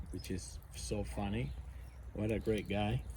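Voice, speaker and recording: With a dark, mellow tone, a man speaks very slowly at a fairly low pitch, somewhat breathy, with audible room echo. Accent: American. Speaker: outdoor gear vlogger, navy veteran. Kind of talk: casual demonstration vlog. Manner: halting, many fillers.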